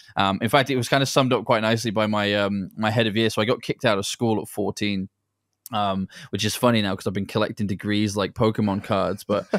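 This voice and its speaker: The recording is very clean and dry, close with no echo, with a silent background. A man speaks fairly quickly in a fairly low, monotone, flat voice. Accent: British. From England. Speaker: entrepreneur and former pro soccer player. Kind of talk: interview. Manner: blunt, direct.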